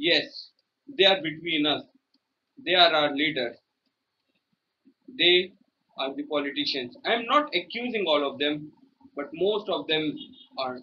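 Over light background noise, a man speaks at a high pitch with very wide pitch swings. His pace is fairly slow, with long, frequent pauses. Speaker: speech trainee. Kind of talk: prepared speech. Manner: very slow. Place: home room. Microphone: phone near.

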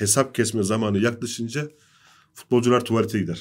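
A man talks at a moderate pace in an unremarkable speaking voice. His pitch is medium, and the background is quiet. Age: 40s. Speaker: sports journalist. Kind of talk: football analysis panel discussion. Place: studio. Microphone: studio mic.

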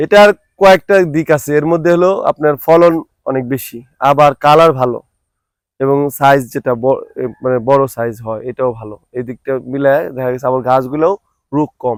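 An ordinary speaking voice from a man, fairly high in pitch, with ordinary pitch variation and a dry, close sound free of echo. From Manikganj, Bangladesh. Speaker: papaya farmer. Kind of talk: interview.

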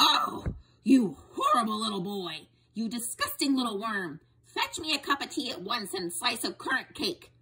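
A shouted, fairly high-pitched put-on character voice. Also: moderate pace. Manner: yelling, bossy.

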